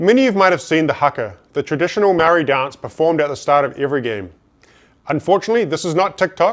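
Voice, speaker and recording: This man's voice sits fairly high and carries lively intonation. He rattles along very fast. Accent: New Zealand. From New Zealand. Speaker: business speaker. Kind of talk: motivational talk.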